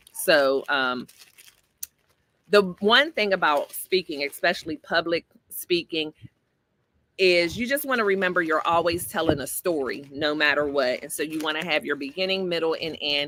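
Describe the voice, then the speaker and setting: A woman's bright, sharp, fairly low voice at a moderate pace, with ordinary pitch variation and a dry, close sound with no echo. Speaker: life coach and livestreamer. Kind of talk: casual livestream chat reading comments. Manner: conversational.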